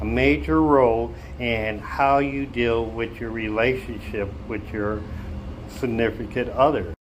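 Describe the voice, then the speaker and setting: A man at a fairly slow pace with very wide pitch swings and audible room echo. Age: 60s. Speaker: vlogger giving dating advice. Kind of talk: casual monologue to camera. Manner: conversational, with fillers.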